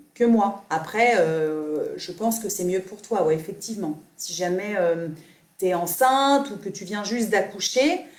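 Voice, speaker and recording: Audible room echo surrounds a woman's medium-pitched voice. She talks at a fairly slow pace with ordinary pitch variation. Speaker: yoga teacher. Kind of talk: live Q&A stream. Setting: live video stream. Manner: not soft-spoken; halting, many fillers.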